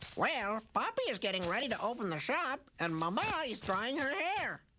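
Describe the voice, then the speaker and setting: A cartoonish character voice, fairly high in pitch, swings very widely in pitch while moving at a moderate pace. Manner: chatty, offhand.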